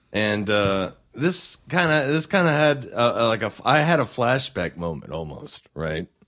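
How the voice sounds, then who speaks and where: Very wide pitch swings mark a man's medium-pitched voice, which has vocal fry, an American accent and a fairly slow pace. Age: 20s. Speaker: podcast co-host. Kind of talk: casual chat.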